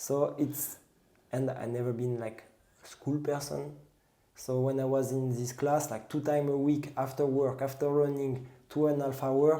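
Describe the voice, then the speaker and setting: A man with a French accent speaks at medium pitch and moderate pace, dark and mellow in tone. His intonation is monotone and flat, with audible room echo. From France, southwest near the Pyrenees. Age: 30s. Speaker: pastry chef and trail runner. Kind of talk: casual interview chat. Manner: halting, with self-corrections.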